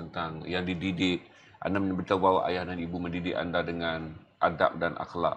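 A man speaks at a moderate pace with a very deep, low pitch. His tone is bright and sharp, with light background noise behind him. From Malaysia. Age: 50s. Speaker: talk show host; interviewer host. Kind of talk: interview. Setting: studio. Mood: earnest, probing. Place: studio. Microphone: lapel.

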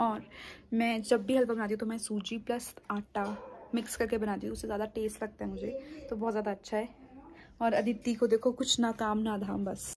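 Over light background noise, a woman speaks in a somewhat breathy voice with monotone, flat intonation. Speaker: vlogger. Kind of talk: casual vlog chat. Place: home room. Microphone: phone near.

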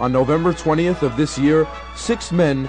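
A man with an American accent, fairly high-pitched and fairly quick, over clear background music. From Bayside, New York. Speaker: radio announcer. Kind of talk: documentary narration. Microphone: old recording.

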